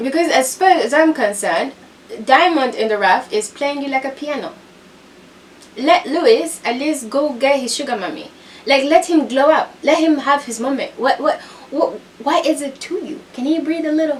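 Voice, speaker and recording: Through noticeable background noise, a woman with a non-native accent speaks at a moderate pace in a high pitch, with an animated tone and lively intonation. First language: not English. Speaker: reality TV commentator. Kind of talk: casual commentary recap.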